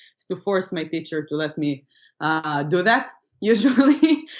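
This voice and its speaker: Speaking at a moderate pace, a woman has a medium pitch and an Israeli accent. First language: Hebrew. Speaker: comedian. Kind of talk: interview.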